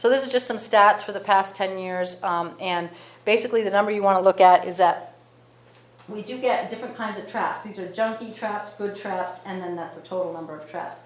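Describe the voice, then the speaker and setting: A woman at medium pitch, fairly quick and fairly even in intonation, with big swings in loudness and noticeable background noise. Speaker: marine debris program director. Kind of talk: presentation. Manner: fast.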